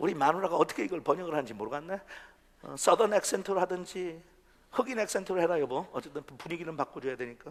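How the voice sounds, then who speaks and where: A man's high-pitched voice at a very fast pace, with lively intonation and big swings in loudness. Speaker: pastor. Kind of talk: sermon. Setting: church. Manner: animated.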